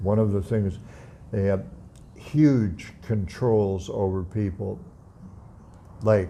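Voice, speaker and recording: A man's fairly low, dark, mellow voice moves at a very slow pace with long, frequent pauses. His pitch varies in an ordinary way, and there is audible room echo. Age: 80s+. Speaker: atheist YouTuber. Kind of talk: casual vlog monologue. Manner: halting.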